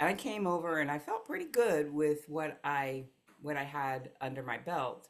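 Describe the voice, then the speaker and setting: A woman's very deep, low voice with a Mid-Atlantic US accent, lively intonation, and a fairly slow pace. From US East Coast, Philadelphia and New Jersey suburbs. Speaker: life coach. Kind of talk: interview.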